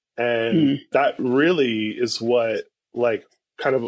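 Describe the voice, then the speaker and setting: This man has a normal speaking voice, pitched in the medium range and delivered at a moderate pace. The background is quiet. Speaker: pastor. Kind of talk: casual chat.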